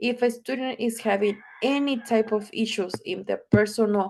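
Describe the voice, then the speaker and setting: A woman with a Spanish accent at a fairly high pitch and a fairly slow pace. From Ciudad Juarez, Mexico. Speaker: social work student. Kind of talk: mock job interview answer. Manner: halting.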